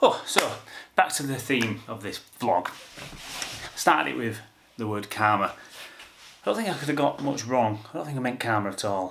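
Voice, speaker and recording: Long, frequent pauses break up speech with lively intonation. Background noise is noticeable. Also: man, medium pitch for a man, moderate pace. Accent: Yorkshire. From Yorkshire, England. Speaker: photographer. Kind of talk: casual talk to camera.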